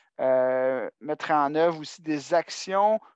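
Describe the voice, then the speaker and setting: The pace is very slow. The background is quiet. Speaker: adult education support coordinator. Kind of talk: work meeting presentation. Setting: video call.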